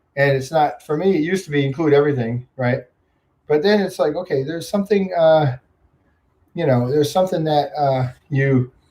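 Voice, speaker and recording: With an American accent, a man talks at a fairly quick pace in a fairly high pitch, somewhat breathy, with a dark, mellow tone and ordinary pitch variation. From upstate New York. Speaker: YouTube vlogger. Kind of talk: livestream chat with viewers. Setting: home livestream on computer. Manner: fast; casual, filler-heavy.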